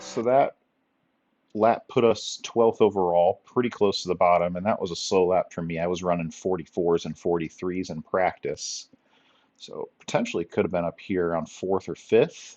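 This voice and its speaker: Here a man speaks with an American accent at a very deep, low pitch. His pace is moderate and his pitch varies in an ordinary way. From United States. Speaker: sim racing gaming channel host. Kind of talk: gameplay commentary. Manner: casual, with filler words.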